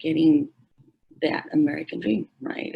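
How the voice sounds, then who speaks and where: Here a woman speaks with a Spanish accent. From Mexico, raised in San Bernardino, California. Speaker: middle school educator. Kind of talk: public forum speech.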